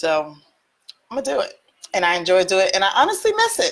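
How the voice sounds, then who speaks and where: This woman speaks with a Southern US accent. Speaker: real estate investor and teacher. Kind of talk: online teaching session. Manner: casual, chatty.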